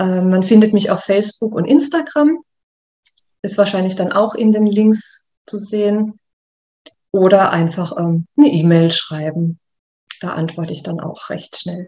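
Somewhat breathy and dark, mellow in tone, a woman at medium pitch speaks at a fairly slow pace, with big swings in loudness and long, frequent pauses. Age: 30s. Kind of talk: interview. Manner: hesitant fillers.

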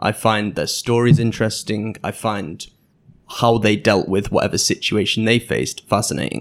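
On a very clean recording with a silent background, a man speaks in a Manchester accent. His pitch is fairly low with ordinary variation and vocal fry, at a moderate pace. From England, Manchester. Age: 20s. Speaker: podcaster and English teacher. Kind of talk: interview conversation. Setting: in-person studio interview.

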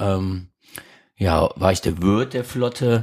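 A man speaks at a very slow pace with ordinary pitch variation. The recording is very clean, and the background is silent. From Krefeld, Lower Rhine, Germany. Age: 40s. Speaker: restaurateur. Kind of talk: casual chat. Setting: living room.

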